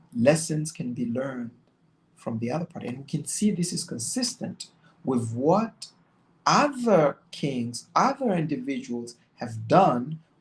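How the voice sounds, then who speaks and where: Somewhat breathy, a man talks at a fairly slow pace. His pitch varies in an ordinary way. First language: not English. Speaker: religious commentator. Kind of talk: bible study commentary. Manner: halting.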